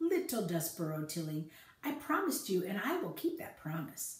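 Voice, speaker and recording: A put-on character voice, female-sounding, at a middle pitch, with slight echo. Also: moderate pace. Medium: read story. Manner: smooth, falsely courteous.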